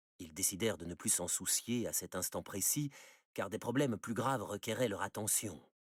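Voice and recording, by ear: Someone reads the text aloud in a natural voice.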